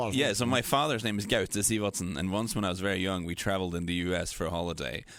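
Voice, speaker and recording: In a Norwegian accent, a man speaks at a very fast pace. His pitch is very deep and low, with ordinary variation. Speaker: football podcast host. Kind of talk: casual chat.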